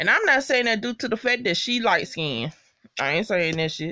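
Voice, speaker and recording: A woman speaks at a fairly high pitch with very wide pitch swings and vocal fry. Her pace is moderate, and the background is quiet. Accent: American. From US South, Mississippi. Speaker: YouTuber reviewing TV shows. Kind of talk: casual vlog recap. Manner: animated. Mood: animated, annoyed, expressive. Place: home room. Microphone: earbuds.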